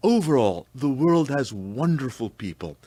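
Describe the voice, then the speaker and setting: A man speaks with lively intonation. He has a slight South African accent. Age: 70s. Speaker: senior long-distance walker and runner. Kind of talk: radio interview, casual chat.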